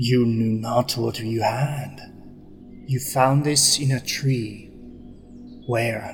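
A man puts on a character voice at a medium pitch, speaking at a very slow pace. Long, frequent pauses break it up, with clear background noise behind him. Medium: actual play. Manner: commanding, powerful authority.

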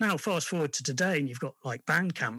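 Bright, sharp tone in an English accent, with lively intonation at a very fast pace. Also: man. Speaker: indie record label collaborator. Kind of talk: interview. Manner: hesitant, many fillers.

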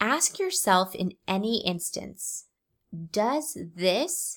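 Here a woman speaks at a very slow pace. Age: 30s. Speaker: beauty business owner and podcast host. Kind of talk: motivational solo podcast talk. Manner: animated.

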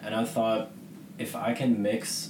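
There is noticeable background noise and audible room echo as a man talks at a medium pitch with an American accent. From US Northeast, Boston. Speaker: illustrator. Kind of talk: radio interview.

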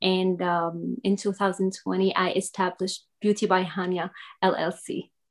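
A woman speaks at a medium pitch with an Arabic accent. Her delivery is monotone and flat, at a very slow pace. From Syria. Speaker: makeup artist and business owner. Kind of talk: interview. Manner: halting.

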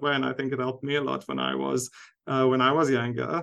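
Against a quiet background, a man with a South African accent speaks at a medium pitch in a bright, sharp tone. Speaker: university lecturer and researcher. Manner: hesitant, many fillers.

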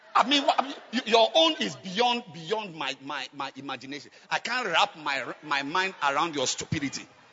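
An animated voice leaps through very wide pitch swings over noticeable background noise. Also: man. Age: 50s. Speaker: pastor. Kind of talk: sermon. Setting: church.

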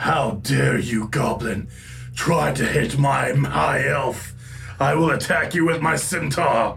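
A man's put-on character voice at medium pitch and a fairly slow pace, over clear background noise. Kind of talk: mock-heroic in-character speech. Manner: vengeful bluster; indignant, theatrical.

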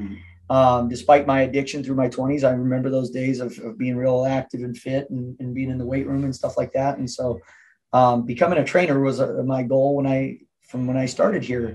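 A man with an American accent, an ordinary speaking voice, medium pitch, fairly even intonation and a fairly quick pace. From Southern California. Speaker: gym owner and fitness coach. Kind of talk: interview.

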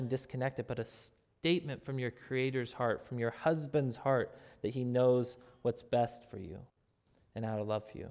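In a normal speaking voice, a man talks at a moderate pace and medium pitch on a very clean recording with a silent background. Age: 30s. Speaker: pastor. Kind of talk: sermon.

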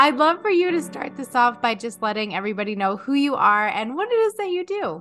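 A woman speaks at a fairly quick pace in a high pitch, her voice swinging very widely up and down. Music plays in the background. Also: hardly any pauses. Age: 30s. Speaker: podcast host and coach. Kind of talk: interview; scripted intro.

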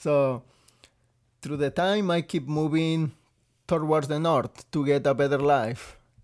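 A man with a Mexican accent, fairly even intonation and a fairly slow pace, with long, frequent pauses. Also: fairly high pitch for a man. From Mexico (Veracruz). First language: Spanish. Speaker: restaurant server and guest sharing his life story. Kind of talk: casual interview, telling personal story.

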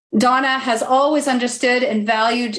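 A woman's high, warm voice at a moderate pace, with ordinary pitch variation and a Canadian accent. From western Canada (Alberta). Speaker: activist group coordinator hosting an online show. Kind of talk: hosted panel interview. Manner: warm, effusive.

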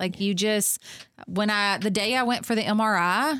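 With a Kentucky accent, a woman speaks at a moderate pace. The recording is very clean, with a silent background and a dry, close sound with no echo. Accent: Southern US (Kentucky). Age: 40s. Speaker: farm venue owner and women's conference organizer, former teacher. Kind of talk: interview conversation. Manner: animated.

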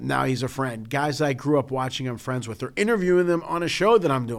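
Speaking with an American accent, a man has an unremarkable speaking voice, fairly high in pitch. His intonation is lively. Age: 50s. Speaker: podcast co-host. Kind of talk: casual chat.

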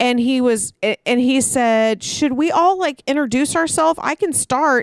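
A woman's high voice is heard against a quiet background. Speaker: podcast co-host. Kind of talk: casual chat. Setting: backyard, outdoors.

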